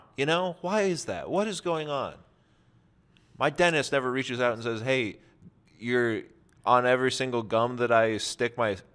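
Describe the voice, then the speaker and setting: At a moderate pace, a man speaks with lively intonation, stopping for long, frequent pauses. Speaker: podcast co-host. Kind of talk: casual comedic podcast banter. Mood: wry, mock-complaining humor. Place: studio. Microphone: studio mic.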